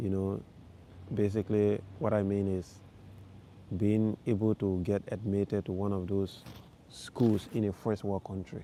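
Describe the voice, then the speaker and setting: A dark, mellow voice with a West African accent speaks at a fairly slow pace with fairly even intonation and long, frequent pauses, on a very clean recording with a silent background. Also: man, fairly low pitch for a man. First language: Fulani. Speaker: vlogger, live stream host. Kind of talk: casual livestream chat with viewers. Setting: outdoors in a park at night, livestream.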